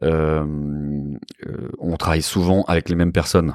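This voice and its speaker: A man speaks at a moderate pace with fairly even intonation, in a dry, close sound with no echo on a very clean recording with a silent background. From Switzerland, then Paris from age 14. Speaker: commercial real estate broker, company founder. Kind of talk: interview. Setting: in person, recorded in Bordeaux. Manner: hesitant, frequent word repetitions.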